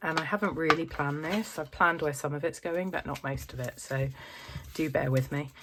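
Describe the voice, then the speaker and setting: Noticeable background noise sits behind a woman with a very deep, low pitch. She speaks at a fairly quick pace with ordinary pitch variation. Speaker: family budgeting vlogger. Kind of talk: casual vlog talk to camera. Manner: hesitant, many fillers.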